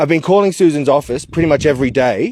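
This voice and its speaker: A man with an Australian accent talks at a very fast pace in a dry, close sound with no echo. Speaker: activist. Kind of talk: casual chat. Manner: loud; halting.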